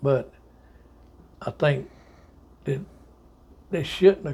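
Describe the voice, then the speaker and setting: A man speaks with a Southern US accent. His voice is somewhat breathy, with a dark, mellow tone. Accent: Southern US (Georgia). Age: 70s. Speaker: army veteran. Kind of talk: oral history interview. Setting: at home.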